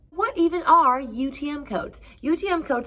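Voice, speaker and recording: A bright, sharp tone marks the woman's voice. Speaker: online seller giving business tips. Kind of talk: tutorial. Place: home room.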